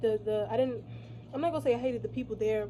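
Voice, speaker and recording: A woman talks while noticeable background noise is heard. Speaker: vlogger. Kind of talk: casual vlog monologue. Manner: loud; halting.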